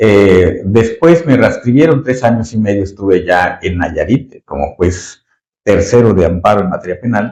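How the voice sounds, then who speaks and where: With lively intonation, a man speaks at a fairly slow pace in a fairly low pitch. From Mexico, Yucatán. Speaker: retired judge. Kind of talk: interview. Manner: halting, many fillers.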